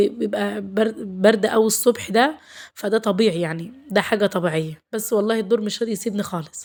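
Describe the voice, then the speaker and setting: Speaking with an Egyptian accent, a woman keeps a fairly quick pace. Her pitch is fairly high, with ordinary pitch variation. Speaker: lifestyle vlogger, housewife. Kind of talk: vlog narration. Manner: warm, chatty.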